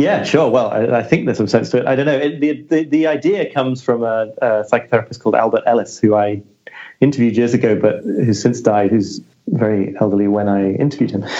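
In a British accent, a man speaks at a very fast pace, his medium pitch showing ordinary variation. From Britain. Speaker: journalist and author. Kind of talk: podcast interview.

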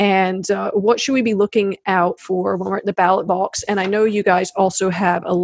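A woman with an American accent speaks in an ordinary speaking voice at a medium pitch and moderate pace. Her intonation is fairly even, and the sound is dry and close with no echo. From South Carolina. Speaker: podcast host. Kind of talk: interview. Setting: remote video call.

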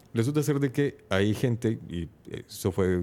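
The recording is very clean with a silent background. In it, a man talks with a dark, mellow tone. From El Salvador. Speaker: podcaster. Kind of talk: casual chat. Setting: live stream.

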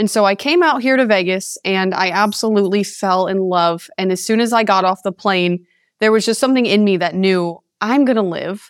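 A woman in an American accent, a normal speaking voice at medium pitch, fairly quick, with ordinary pitch variation, on a very clean recording with a silent background. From Connecticut, US (East Haven). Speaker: mental health advocate. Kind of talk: podcast interview.

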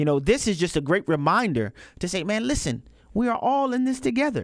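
A man's moderate pace comes with very wide pitch swings, captured on a very clean recording with a silent background. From US South, New Orleans, Louisiana. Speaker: fill-in radio host. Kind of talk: talk radio commentary.

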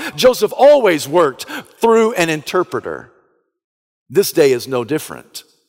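With an American accent, a man speaks at a moderate pace in a high pitch, his voice swinging very widely, with long, frequent pauses. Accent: Southern US accent, noticeable to others. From US South. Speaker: pastor. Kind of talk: sermon.

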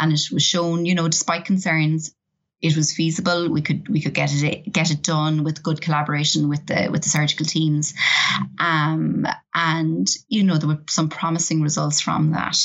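Here is a woman with an Irish accent and a very deep, low pitch. Her intonation stays fairly even at a moderate pace. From Ireland. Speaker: professor. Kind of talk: interview. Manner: hesitant with fillers.

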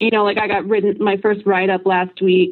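This woman speaks at a fairly quick pace. Her pitch is medium. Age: 20s. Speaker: ad copywriter. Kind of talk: call-in conversation. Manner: halting.

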